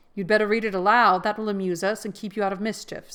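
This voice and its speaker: A woman puts on a growling character voice at medium pitch, speaking very fast in a flat monotone. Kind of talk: prim, grown-up. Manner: bossy, superior.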